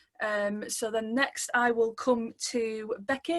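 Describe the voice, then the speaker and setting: A woman speaks at a fairly high pitch with a slight Manchester accent. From Manchester, England. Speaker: social work student, webinar co-host. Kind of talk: webinar introduction. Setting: video call webinar.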